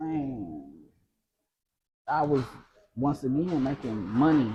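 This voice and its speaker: At a very slow pace, the voice sounds somewhat breathy, with a dark, mellow tone. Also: man, medium pitch for a man, ordinary pitch variation. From US Midwest (Indianapolis, east side). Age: 30s. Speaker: entrepreneur. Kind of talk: casual interview. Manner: animated.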